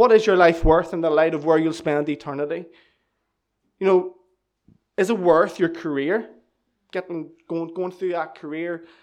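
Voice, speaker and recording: A high-pitched man with a Northern Irish accent. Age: 20s. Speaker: church member giving testimony. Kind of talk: testimony. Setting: church.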